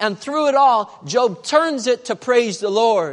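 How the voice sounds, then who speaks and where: Someone with a West Coast accent speaks at a fairly slow pace. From southern Oregon, US. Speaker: pastor. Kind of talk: sermon.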